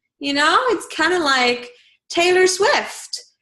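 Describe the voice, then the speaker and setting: A woman's voice is raised and projected, pitched extremely high with very wide swings. The tone is bright and sharp. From Bulgaria. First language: Bulgarian. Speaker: live streaming specialist. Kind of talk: interview.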